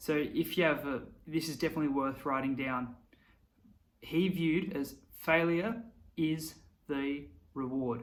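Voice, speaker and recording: Audible room echo surrounds a man speaking at a fairly high pitch. His pace is moderate and his pitch variation ordinary. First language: not English. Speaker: YouTuber. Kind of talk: motivational talk to camera. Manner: casual, conversational.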